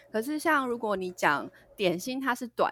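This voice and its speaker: A woman with a bright, sharp tone talks at a very slow pace with very wide pitch swings, on a very clean recording with a silent background. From Taiwan. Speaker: English pronunciation teacher. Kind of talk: casual chat.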